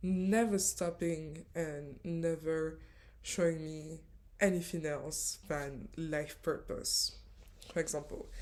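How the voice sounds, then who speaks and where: This woman has a French accent. She talks at a very slow pace. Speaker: spiritual coach. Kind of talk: storytelling vlog. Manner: hesitant, many fillers.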